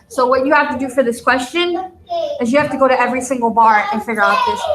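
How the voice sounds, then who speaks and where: In a room with audible echo, a woman talks at a fairly quick pace in a high pitch with ordinary pitch variation. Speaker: math teacher. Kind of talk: tutorial.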